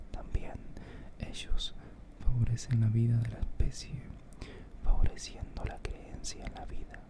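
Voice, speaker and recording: Whispering at a fairly slow pace, with long, frequent pauses and noticeable background noise. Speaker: reader. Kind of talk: philosophy reading. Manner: whispered.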